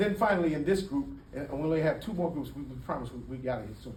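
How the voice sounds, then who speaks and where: A man races along at a very fast pace with a fairly high pitch. His ordinary pitch variation carries some audible room echo. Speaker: community speaker. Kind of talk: public talk. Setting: room with audience. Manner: animated.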